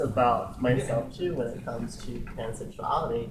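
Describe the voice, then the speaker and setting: A man's voice at a moderate pace with fairly even intonation, amid audible room echo and noticeable background noise. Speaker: drag performer. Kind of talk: casual group discussion.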